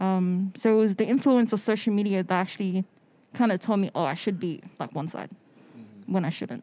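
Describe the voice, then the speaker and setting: A woman's dark, mellow tone at a fairly quick pace, with big swings in loudness. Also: medium pitch for a woman, ordinary pitch variation. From Australia (Sydney), born in the Cook Islands. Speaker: photographer; podcast guest. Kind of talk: casual chat. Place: studio. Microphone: handheld.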